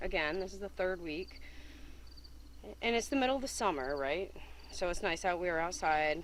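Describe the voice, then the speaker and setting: A woman's fairly low, American-accented voice with vocal fry and lively intonation, at a moderate pace with long, frequent pauses, in audible room echo. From upstate New York, Whitehall. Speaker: eyewitness. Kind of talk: interview.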